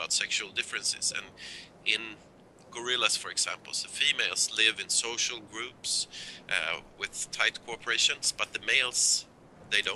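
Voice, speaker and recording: A man speaks at a moderate pace with a Swedish accent. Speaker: zoology professor and author. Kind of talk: live call-in show interview. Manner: halting, with restarts.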